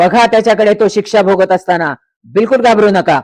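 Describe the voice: Fairly even intonation in plain reading aloud, the background quiet.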